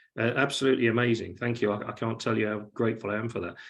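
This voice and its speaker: Animated in tone, a man with a British accent and a medium pitch speaks with vocal fry. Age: 60s. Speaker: event host. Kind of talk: casual chat. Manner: animated, repeats words.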